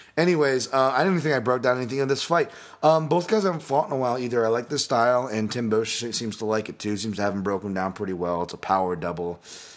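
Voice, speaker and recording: Talking at a very fast pace with hardly any pauses, a man speaks at a medium pitch. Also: lively intonation. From Hawaii. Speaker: MMA analyst and podcast host. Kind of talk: solo podcast fight breakdown. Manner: casual, many fillers and repetitions.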